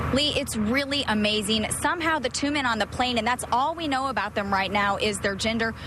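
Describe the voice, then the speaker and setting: Against noticeable background noise, a woman speaks fairly quickly and at a fairly high pitch with hardly any pauses, very even loudness and ordinary pitch variation. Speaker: TV news reporter. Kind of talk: TV news report.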